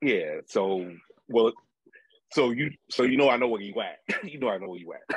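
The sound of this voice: A man speaks at a moderate pace with fairly low pitch. His intonation is lively, with a slightly husky edge.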